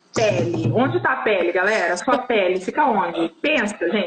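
Music can be heard behind the voice. The woman talks somewhat slowly. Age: 40s. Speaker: sex coach. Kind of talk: casual chat. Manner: animated.

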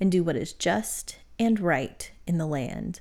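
In a very clean recording over a silent background, this is an unremarkable speaking voice with ordinary pitch variation. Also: woman. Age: 30s. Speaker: podcast co-host and seminary student. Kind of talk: casual Bible study chat.

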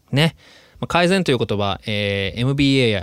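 Recorded very cleanly with a silent background, a man talks at a fairly quick pace in a dry, close sound with no echo. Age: 30s. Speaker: actor and podcast host living in Australia. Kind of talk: casual solo podcast monologue.

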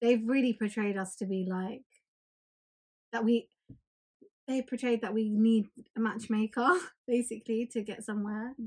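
With long, frequent pauses, a somewhat breathy woman with a fairly high pitch speaks at a moderate pace in a monotone, flat intonation. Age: 20s. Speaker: podcast co-host. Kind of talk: casual chat.

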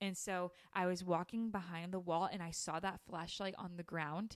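Speaking with a normal speaking voice at a moderate pace, a woman with an American accent talks at a medium pitch. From Utah. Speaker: podcast host. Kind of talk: casual chat.

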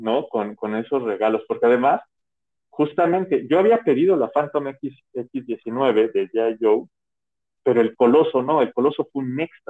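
Lively intonation marks an ordinary speaking voice delivered at a fairly slow pace. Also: man, fairly high pitch for a man. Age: 30s. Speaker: podcast co-host. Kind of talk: casual chat.

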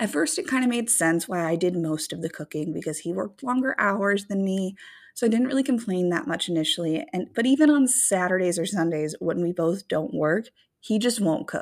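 A woman speaks at a fairly quick pace in an animated tone. Her pitch swings very widely. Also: medium pitch for a woman. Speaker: podcast co-host. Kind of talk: casual chat podcast banter. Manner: loud, naturally on an eight; animated, profane.

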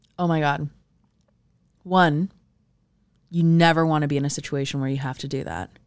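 A woman with an American accent talks at a fairly quick pace, with long, frequent pauses. Her pitch is very deep and low, with ordinary variation. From US Southwest (southern California and Arizona). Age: 30s. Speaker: podcast co-host. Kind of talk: casual chat.

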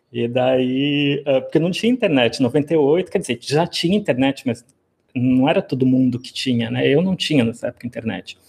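This man, with an unremarkable speaking voice, keeps a medium pitch, a moderate pace and ordinary pitch variation. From Brazil, Rio Grande do Sul (Rio Grande). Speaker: professor of classics. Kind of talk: interview.

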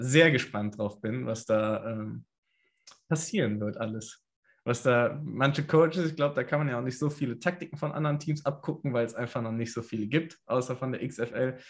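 A man with an ordinary speaking voice, medium pitch, ordinary pitch variation and a moderate pace, in a very clean recording with a silent background. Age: 20s. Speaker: American football kicker. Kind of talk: casual interview.

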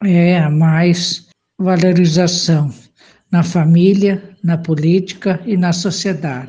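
Very slow and very even in loudness, a woman speaks with a dark, mellow, somewhat breathy tone. Her pitch is fairly low and her intonation fairly even. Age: 70s. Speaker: retired farmer and community volunteer. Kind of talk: personal testimony.

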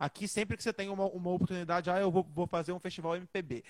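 A man speaks with a high pitch. The recording is very clean with a silent background, and the sound is dry and close with no echo. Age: 20s. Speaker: singer. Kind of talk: casual chat.

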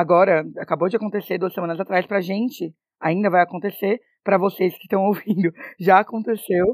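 Dry, close sound with no echo, with a woman in a normal speaking voice at medium pitch and a moderate pace. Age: 20s. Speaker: actress and podcast co-host. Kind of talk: casual chat.

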